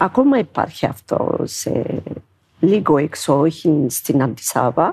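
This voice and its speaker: A very slow delivery with lively intonation. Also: woman, very deep, low pitch for a woman. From Ethiopia. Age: 50s. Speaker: dancer and shop worker. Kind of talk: interview. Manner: halting.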